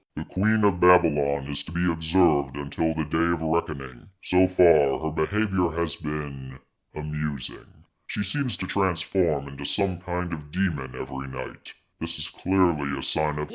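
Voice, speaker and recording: A man puts on a character voice with a very deep, low pitch and speaks at a moderate pace. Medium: virtual streamer. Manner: solemn, formal.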